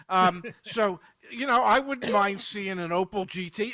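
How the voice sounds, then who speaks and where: A man projects a raised voice with a bright, sharp tone and a high pitch. He speaks at a fairly slow pace with ordinary pitch variation. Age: 70s. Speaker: car market commentator. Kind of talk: casual panel chat. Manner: halting, repeats words.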